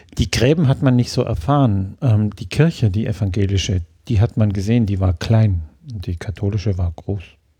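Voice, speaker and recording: With a dark, mellow tone and somewhat breathy delivery, a man speaks at a fairly low pitch with ordinary pitch variation on a very clean recording against a silent background. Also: moderate pace. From southern Germany, Lake Constance area (Ravensburg). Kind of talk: interview. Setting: kitchen at home.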